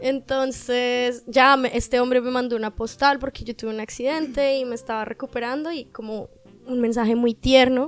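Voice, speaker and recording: This woman's voice sits at a high pitch. Her intonation is monotone and flat. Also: moderate pace. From Colombia, Caribbean coast. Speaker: podcast guest. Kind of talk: casual chat.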